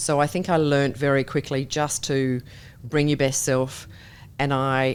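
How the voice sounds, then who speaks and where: This woman has a very deep, low pitch and talks at a moderate pace with fairly even intonation. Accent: Australian. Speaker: company chair and board director. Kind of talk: interview.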